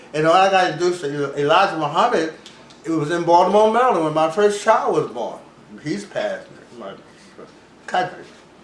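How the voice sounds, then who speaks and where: Noticeable background noise sits behind a high-pitched man talking at a fairly quick pace. He takes long, frequent pauses, and his loudness swings widely. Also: ordinary pitch variation. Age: 80s+. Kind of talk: interview answer.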